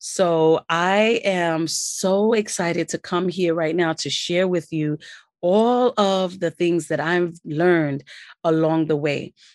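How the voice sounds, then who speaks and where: A woman with a New York accent has a fairly low pitch and ordinary pitch variation. The sound is dry and close with no echo, over a quiet background. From New York City, Brooklyn. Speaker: podcast host, business credit coach. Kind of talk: solo podcast, instructional talk. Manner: enthusiastic.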